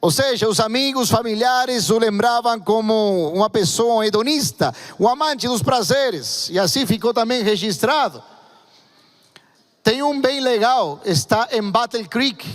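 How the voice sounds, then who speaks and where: Keeping his loudness very even, a man speaks at a high pitch and fairly slow pace with ordinary pitch variation. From Argentina. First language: Spanish (speaking Portuguese). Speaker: pastor. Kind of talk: sermon. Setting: church.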